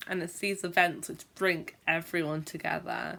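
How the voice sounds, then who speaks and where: A woman's fairly low, flat monotone with vocal fry, at a fairly slow pace, in a very clean recording with a silent background. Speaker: teacher who stammers, video blogger. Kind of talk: vlog monologue. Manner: stammers.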